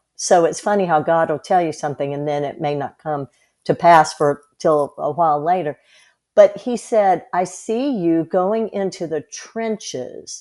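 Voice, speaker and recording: A woman with an American accent, a dark, mellow tone and fairly low pitch, ordinary pitch variation, a fairly slow pace, and a quiet background. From US South, South Carolina. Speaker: health coach. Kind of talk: casual chat.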